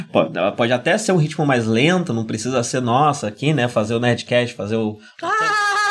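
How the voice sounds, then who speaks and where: Lively intonation from a man at a medium pitch, with noticeable background noise. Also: moderate pace. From Brazil, São Paulo. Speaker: podcast host. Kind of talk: casual chat. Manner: projected, firm podcast voice.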